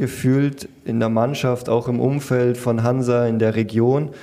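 A man talks at a medium pitch. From Bavaria, Munich area. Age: 20s. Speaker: professional footballer. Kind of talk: interview. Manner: hesitant, many fillers.

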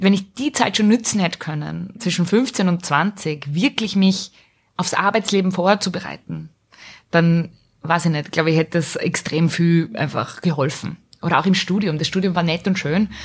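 The voice is somewhat breathy and shows ordinary pitch variation. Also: woman, fairly low pitch for a woman, moderate pace. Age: 30s. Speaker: small business owner. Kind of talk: casual interview. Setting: studio.

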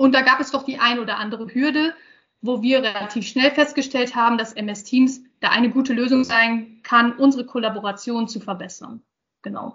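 High-pitched woman's voice at a moderate pace, fairly even intonation, big swings in loudness. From northern Germany, Osnabrück region. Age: 30s. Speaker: IT project manager. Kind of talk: interview. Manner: hesitant, many fillers.

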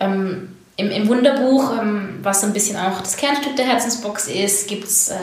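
A woman's fairly slow, ordinarily varied speech is heard through audible room echo and noticeable background noise. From southwestern Germany, near Heilbronn. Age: 30s. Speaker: entrepreneur. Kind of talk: interview.

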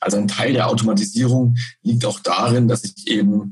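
Pitch rises and falls in an ordinary way. The delivery keeps a moderate pace. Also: man. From Bavaria. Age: 30s. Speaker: head of a post-processing business unit. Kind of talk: technical interview. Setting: remote call via internet. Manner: halting, many fillers.

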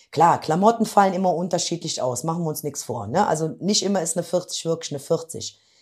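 Her pace is fairly quick, with ordinary pitch variation. This woman sounds somewhat breathy. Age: 50s. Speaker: office clerk, weight-loss program participant. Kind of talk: interview. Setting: in person, same room as host.

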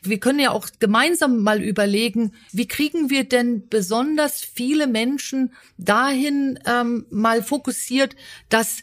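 A woman speaks very slowly and somewhat breathily. Her pitch moves in an ordinary way. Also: very clean recording, silent background. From Berlin. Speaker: podcast host, business consultant. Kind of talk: interview.

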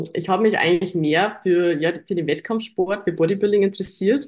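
Her voice is an unremarkable speaking voice, a woman at medium pitch with fairly even intonation. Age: 20s. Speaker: fitness athlete and online coach. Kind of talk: casual chat.

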